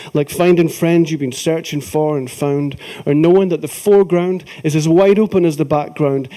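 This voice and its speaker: With a Scottish accent, a man speaks at a moderate pace in a dark, mellow tone. His pitch varies in an ordinary way over a quiet background. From Scotland. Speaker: folk singer and poet. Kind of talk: live poetry reading. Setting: theatre stage. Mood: emotional, reflective. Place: stage.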